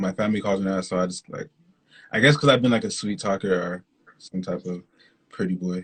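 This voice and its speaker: A man with a slight Canadian accent, very deep and low in pitch, at a fairly quick pace with ordinary pitch variation and long, frequent pauses. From Canada. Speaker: R&B singer-songwriter. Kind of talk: casual interview. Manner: fast.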